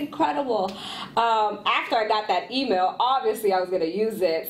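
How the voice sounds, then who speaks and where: The tone is animated. The pace is moderate. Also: woman. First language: Spanish. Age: 30s. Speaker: entrepreneur, former radio host. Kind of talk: podcast interview.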